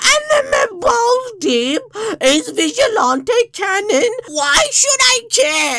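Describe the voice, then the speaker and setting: Someone shouts in a put-on character voice at an extremely high pitch. The delivery is very slow, with very wide pitch swings. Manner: whiny, mocking.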